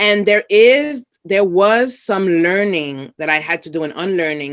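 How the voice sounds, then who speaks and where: Speaking at a moderate pace with a Bronx accent, a woman is heard in a very clean recording with a silent background. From New York City, the Bronx. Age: 40s. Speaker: social worker. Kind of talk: interview.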